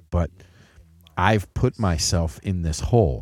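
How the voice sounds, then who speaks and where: A very deep, low male voice, dark and mellow, with vocal fry and lively intonation. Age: 50s. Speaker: podcast host, father of co-host. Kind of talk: casual chat.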